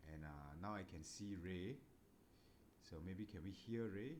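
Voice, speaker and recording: A soft-spoken voice carries audible room echo. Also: man. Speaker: book club host. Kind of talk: casual chat.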